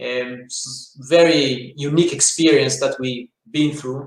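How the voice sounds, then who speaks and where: Speaking with an Israeli accent, the man uses ordinary pitch variation. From Israel, rural south. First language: Hebrew. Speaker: business owner, franchise CEO. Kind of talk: interview.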